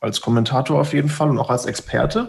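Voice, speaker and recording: Somewhat breathy, a man's fairly high voice moves with ordinary pitch variation. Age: 30s. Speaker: video producer. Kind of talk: casual chat.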